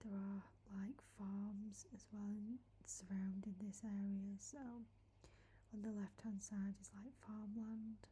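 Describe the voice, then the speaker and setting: Soft-spoken and somewhat breathy, a woman talks very slowly in a dark, mellow, gentle tone with monotone, flat intonation. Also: medium pitch for a woman. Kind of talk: soft-spoken ASMR walking tour talking to camera. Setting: outdoors in a woodland. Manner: soft-spoken, gentle.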